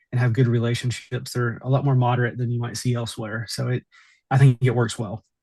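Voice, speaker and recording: This man talks at a fairly quick pace with an American accent, his medium-pitched voice somewhat breathy and his intonation monotone and flat. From Southwest Virginia (Appalachia). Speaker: mayor. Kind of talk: interview. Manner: halting, many repeated words.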